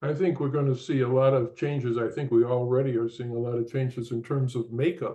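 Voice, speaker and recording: A man talks at a fairly quick pace with hardly any pauses. His voice is somewhat breathy, and his intonation stays fairly even. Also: medium pitch for a man. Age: 80s+. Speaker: interviewer. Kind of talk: interview. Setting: live online fireside chat. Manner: halting, many fillers.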